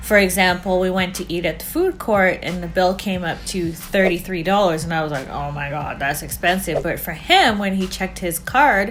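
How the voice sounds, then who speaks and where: A woman at medium pitch with ordinary pitch variation, moderately paced with hardly any pauses, over music in the background and audible room echo. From Canada. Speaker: couple vlogger. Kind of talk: casual chat.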